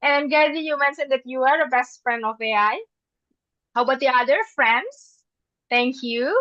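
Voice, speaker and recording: A woman with an Indonesian accent speaks at a moderate pace and a high pitch, with ordinary pitch variation and long, frequent pauses. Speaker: English teacher and presenter. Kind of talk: webinar presentation. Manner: halting, with many fillers.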